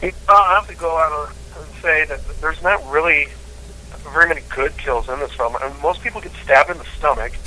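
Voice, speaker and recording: A man with an American accent speaks at a fairly quick pace, his loudness swinging widely. Noticeable background noise sits behind him. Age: 40s. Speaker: podcast co-host. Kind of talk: casual chat.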